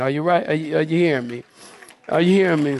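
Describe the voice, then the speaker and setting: An animated man's voice, fairly high in pitch with ordinary pitch variation, against crowd noise in the background. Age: 50s. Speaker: pastor. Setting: church with live congregation. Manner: animated, emphatic preaching with repeated words and stammered restarts.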